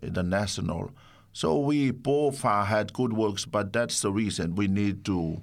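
Here a man with a Samoan accent speaks in a fairly low pitch. His pace is fairly slow, with ordinary pitch variation. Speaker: pastor. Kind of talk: testimony. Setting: studio. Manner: halting.

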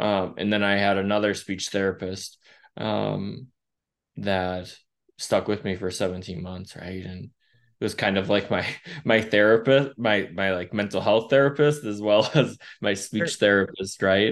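An unremarkable speaking voice comes from a man with an American accent, fairly low in pitch with ordinary pitch variation. He speaks at a fairly slow pace over a quiet background. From rural Wisconsin. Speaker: social worker and therapist. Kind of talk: interview.

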